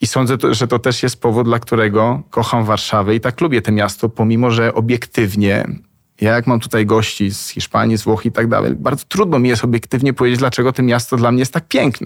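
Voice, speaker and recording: A man talks at a very fast pace with hardly any pauses. His pitch is medium, his loudness very even and his intonation fairly even. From Spain, Argentina, Colombia (diplomat's child). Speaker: travel agency founder. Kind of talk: interview. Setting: studio.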